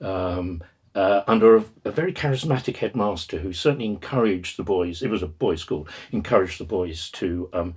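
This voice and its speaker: A man speaks with a southern English accent. His voice is somewhat breathy. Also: quiet background. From southern England (Exeter, then East Kent); southern England. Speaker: retired professor of Buddhist studies. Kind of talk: oral history interview; interview answer. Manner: halting, many fillers and repetitions. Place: home room.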